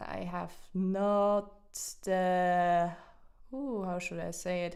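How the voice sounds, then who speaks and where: Speaking with a non-native accent, a woman uses a medium pitch. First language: not English. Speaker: hobby painting streamer. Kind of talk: casual live-stream chat. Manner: halting, many fillers and restarts.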